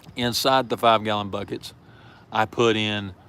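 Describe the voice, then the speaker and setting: In a Southern US accent, the voice has a bright, sharp tone and a monotone, flat delivery. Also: man. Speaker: prepper channel host. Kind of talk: live stream chat. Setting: outdoors in backyard. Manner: casual, hesitant with fillers.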